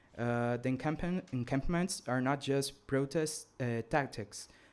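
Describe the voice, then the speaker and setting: At a moderate pace, a man speaks with a Brazilian accent and a medium pitch. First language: Portuguese. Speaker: student activist. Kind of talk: conference speech read from script. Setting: conference. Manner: reading aloud with hesitations.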